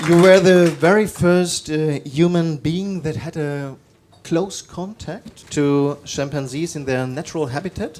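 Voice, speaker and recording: Fairly slow speech from a man at a fairly high pitch, with ordinary pitch variation, an ordinary speaking voice. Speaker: talk show host. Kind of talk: interview questions.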